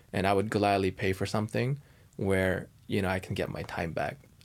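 On a very clean recording with a silent background, a man with a fairly low pitch speaks at a moderate pace with ordinary pitch variation in an unremarkable speaking voice. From Canada. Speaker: startup founder. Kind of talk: interview.

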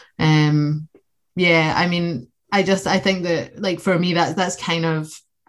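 A woman with a Scottish accent speaks at a fairly slow pace in a fairly low, monotone voice with flat intonation, on a very clean recording with a silent background. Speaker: socialist activist. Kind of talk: political discussion.

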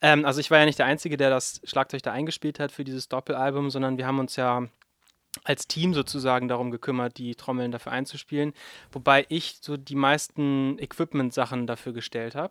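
A man speaks at a fairly quick pace in a flat, monotone delivery. The recording is very clean with a silent background, and the sound is dry and close with no echo. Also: medium pitch for a man. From Germany. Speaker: drummer in a soul band. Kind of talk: casual chat. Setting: studio.

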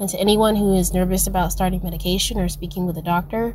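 A woman speaks at a medium pitch, her voice somewhat breathy and her intonation fairly even. Audible room echo surrounds her. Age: 20s. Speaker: listener leaving voice memo. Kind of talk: voice memo testimony. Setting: recorded voice memo.

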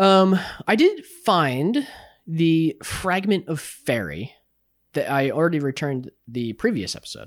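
Lively intonation marks a man speaking at a fairly slow pace with a fairly high pitch. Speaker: gaming podcast co-host. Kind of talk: casual chat. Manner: soft-spoken.

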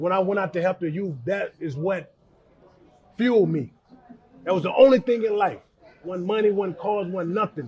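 A man talks at a high pitch, with long, frequent pauses. Noticeable background noise sits behind him. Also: ordinary pitch variation, moderate pace. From West Charlotte, North Carolina. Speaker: former NFL linebacker. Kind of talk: interview.

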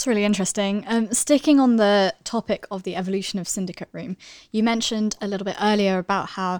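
The recording is very clean with a silent background and a dry, close sound with no echo. A woman talks fairly quickly in an ordinary speaking voice, at medium pitch with fairly even intonation. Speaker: podcast co-host. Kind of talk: interview questions, podcast hosting.

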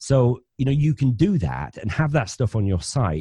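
Over a quiet background with a dry, close sound and no echo, a man's somewhat breathy, dark, mellow voice moves at a moderate pace through very wide pitch swings. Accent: northern English. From northern England, Bradford, West Yorkshire. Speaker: financial planner and podcaster. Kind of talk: interview conversation.

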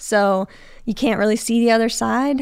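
On a very clean recording with a silent background, a woman with an American accent has an ordinary speaking voice, fairly high in pitch, with lively intonation at a moderate pace. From Chicago suburbs, Illinois. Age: 30s. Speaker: HVAC technician. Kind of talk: casual chat. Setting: studio.

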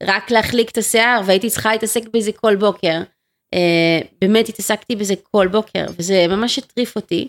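The recording is very clean, with a silent background. It has an unremarkable speaking voice at a moderate pace with ordinary pitch variation. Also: woman. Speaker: entrepreneur. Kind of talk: interview.

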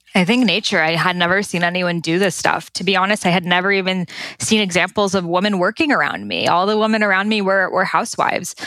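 With an American accent, a woman talks very fast at a medium pitch. Her intonation is fairly even and her loudness stays very even. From Boston, Massachusetts. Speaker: Ayurveda expert and author. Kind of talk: interview.

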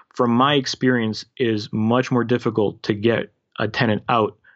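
A man speaks at a medium pitch. He has a Canadian accent. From Canada (Toronto), born in former Yugoslavia. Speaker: real estate investor. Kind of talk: interview. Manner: animated.

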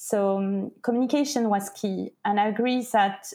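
A woman with a French accent speaks at a fairly slow pace and a fairly high pitch. Her tone is dark and mellow, with fairly even intonation. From France. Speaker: entrepreneur. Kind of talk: interview.

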